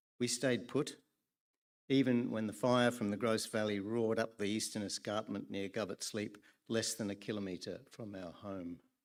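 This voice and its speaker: A man with an Australian accent, fairly low in pitch, at a moderate pace, in a very clean recording with a silent background. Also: fairly even intonation. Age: 70s. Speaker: public hearing speaker. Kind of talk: prepared public testimony. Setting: public hearing.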